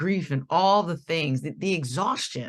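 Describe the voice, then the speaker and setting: In an American accent, a woman talks in an animated tone at a moderate pace with ordinary pitch variation over a quiet background. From Connecticut, US. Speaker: diversity and anti-oppression presenter. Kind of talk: workshop presentation. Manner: animated, conversational.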